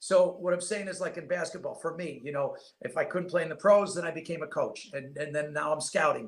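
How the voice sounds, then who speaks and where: Talking at a fairly quick pace with a New York accent, a man with a high pitch keeps his intonation fairly even. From upstate New York. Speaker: basketball scout and former coach. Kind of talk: podcast interview. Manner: fast.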